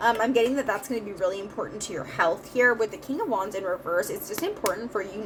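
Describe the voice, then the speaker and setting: A woman speaks at a very fast pace with hardly any pauses. Background noise is noticeable. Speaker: tarot reader. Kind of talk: tarot reading monologue. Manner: many filler words.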